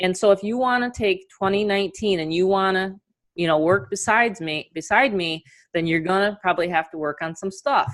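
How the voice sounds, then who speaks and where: Speaking fairly quickly, a woman uses an animated tone. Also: medium pitch for a woman, ordinary pitch variation. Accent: New York. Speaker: online marketing coach. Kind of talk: webinar presentation. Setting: video call.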